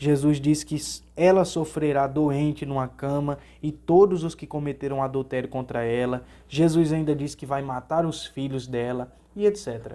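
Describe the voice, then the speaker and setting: This man's voice is fairly high in pitch yet has a dark, mellow tone. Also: fairly even intonation, moderate pace. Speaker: Sunday school teacher. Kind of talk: Bible lesson.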